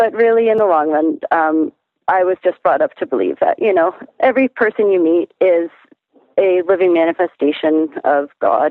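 A woman with an Ontario accent, fairly low-pitched, at a moderate pace. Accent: Canadian (Ontario). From Canada, Toronto. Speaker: musician. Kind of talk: casual chat.

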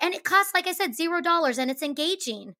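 A woman speaks in a raised, projected voice with a bright, sharp, energetic and animated tone. Her intonation is lively, and the recording is very clean with a silent background. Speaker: teacher and podcast co-host. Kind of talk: casual conversational podcast chat. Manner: loud, energetic, animated.

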